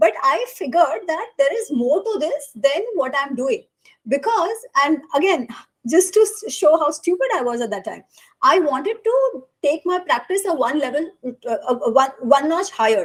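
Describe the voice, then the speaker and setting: Speaking at a moderate pace with a Gujarati accent, a woman uses a high pitch and very wide pitch swings. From India. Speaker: author. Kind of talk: interview conversation. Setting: live podcast recording.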